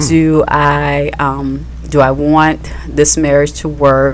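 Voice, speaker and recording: A woman's voice with noticeable background noise. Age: 30s. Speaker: podcast co-host, wife. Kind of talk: casual radio interview.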